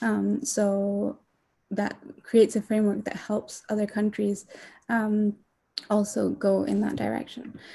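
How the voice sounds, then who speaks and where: On a very clean recording with a silent background, a woman speaks at a fairly slow pace, leaving long, frequent pauses. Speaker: youth climate activist. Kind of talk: panel talk.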